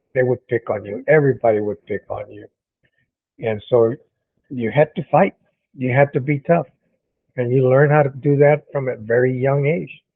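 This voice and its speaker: Using an American accent, a man speaks in a medium pitch with ordinary variation, big swings in loudness and long, frequent pauses. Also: moderate pace. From Corpus Christi, Texas. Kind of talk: casual talk to camera.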